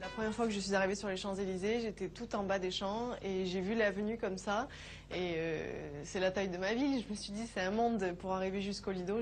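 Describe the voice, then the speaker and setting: The speaker uses a plain, everyday voice at a fairly quick pace. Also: woman. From southern France, Nîmes. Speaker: cabaret dancer. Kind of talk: interview.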